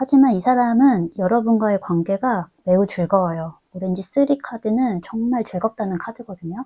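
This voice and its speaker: A woman's fairly high, somewhat breathy voice at a moderate pace with hardly any pauses and ordinary pitch variation, in a dry, close sound with no echo. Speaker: tarot reader. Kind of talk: tarot reading monologue. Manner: filler-heavy, hesitant ('어').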